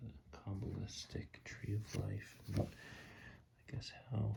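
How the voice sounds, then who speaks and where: Whispering in a relaxed tone, a man speaks at a very slow pace. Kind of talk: tarot ASMR reading, improvised rambling. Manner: soft-spoken, whispering, relaxed.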